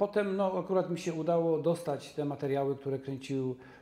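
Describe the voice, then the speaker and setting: There is audible room echo around this man's voice. His pitch varies in an ordinary way. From Częstochowa, southern Poland; southern Poland. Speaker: documentary filmmaker. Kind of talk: casual interview. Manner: halting. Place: studio. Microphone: lapel.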